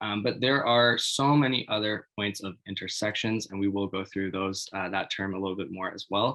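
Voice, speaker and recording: A man with a Canadian accent speaks in an unremarkable speaking voice, fairly low-pitched, at a moderate pace with ordinary pitch variation and hardly any pauses. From Canada, Toronto. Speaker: youth workshop facilitator. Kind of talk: webinar presentation. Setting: online webinar.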